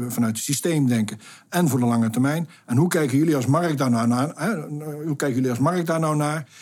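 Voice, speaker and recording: This man's fairly high pitch shows ordinary pitch variation. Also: fairly quick pace. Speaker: project director. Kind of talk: interview. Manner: hesitant, many fillers.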